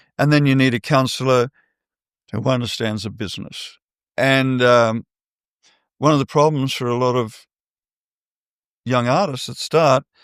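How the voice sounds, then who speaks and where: With an Australian accent, a man speaks at a medium pitch with fairly even intonation and long, frequent pauses, on a very clean recording with a silent background and a dry, close sound with no echo. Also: moderate pace. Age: 70s. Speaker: artist manager. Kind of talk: interview.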